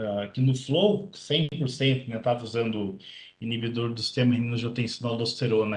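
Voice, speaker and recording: At a moderate pace, a man speaks with a medium pitch. His voice is somewhat breathy. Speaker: nephrologist presenting congress highlights. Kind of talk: medical lecture. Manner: clear.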